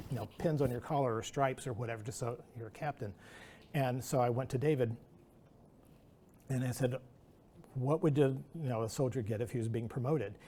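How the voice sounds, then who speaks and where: Somewhat breathy, a man speaks at a fairly quick pace with a dark, mellow tone. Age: 60s. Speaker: animator and artist. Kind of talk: artist talk Q&A. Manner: halting.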